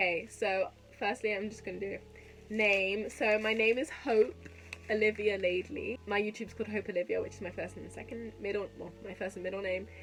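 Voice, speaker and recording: The speaker has a London accent and fairly even intonation, with big swings in loudness. Noticeable background noise runs underneath. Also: woman, medium pitch for a woman, fairly quick pace. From West London, England. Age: 20s. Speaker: YouTuber and podcast host, university student. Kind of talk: casual vlog chat. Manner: chatty, rambling with fillers.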